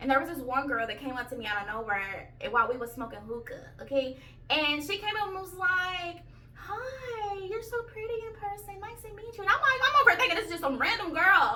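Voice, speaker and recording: Raised, projected female voice at an extremely high pitch, with very wide pitch swings, big swings in loudness, a fairly quick pace and audible room echo. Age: 30s. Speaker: YouTuber. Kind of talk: storytelling vlog. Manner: animated.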